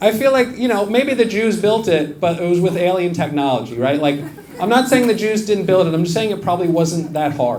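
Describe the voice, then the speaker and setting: A man with an American accent talks at a fairly quick pace, his high pitch carried by lively intonation. Noticeable background noise and audible room echo fill the recording. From US. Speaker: stand-up comedian. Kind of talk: stand-up. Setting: stage with audience.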